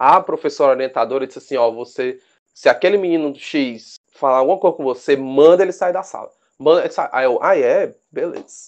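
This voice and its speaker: The man's pitch is fairly high with ordinary variation, and he keeps a moderate pace. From Brazil, Fortaleza, Ceará. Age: 20s. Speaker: rugby referee and biologist. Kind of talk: casual interview. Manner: hesitant, repeats words.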